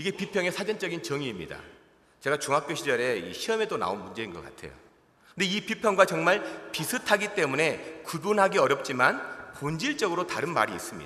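A man speaks with a high pitch. His pitch swings very widely and his loudness rises and falls sharply. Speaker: pastor. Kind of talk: sermon. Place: church. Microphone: podium.

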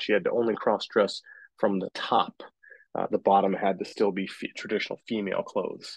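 A man's voice sounds dry with no echo, set against a quiet background. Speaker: theatre teacher. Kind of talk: lecture. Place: home room. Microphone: webcam.

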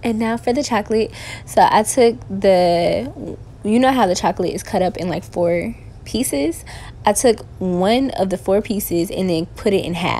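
This woman's tone is dark and mellow. Vocal fry runs through her speech. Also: moderate pace. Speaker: home baker vlogger. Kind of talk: tutorial. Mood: playful, relaxed. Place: kitchen. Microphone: camera far.

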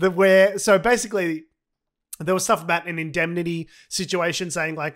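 With an Australian accent, a man talks at a fairly quick pace in a high pitch against a quiet background. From Australia (Victoria). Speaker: comedy podcast co-host. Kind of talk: casual chat. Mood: sardonic, joking. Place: home room. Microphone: studio mic.

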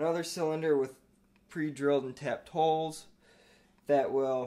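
This is a man talking. He keeps a moderate pace. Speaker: lab builder demonstrating parts. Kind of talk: tutorial. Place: classroom.

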